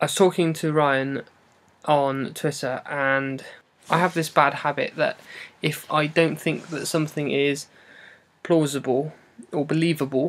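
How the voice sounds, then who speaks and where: The speaker has an English accent and a fairly slow pace. Long pauses come often. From England. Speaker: vlogger. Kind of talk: casual vlog monologue. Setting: at home wrapped in duvet.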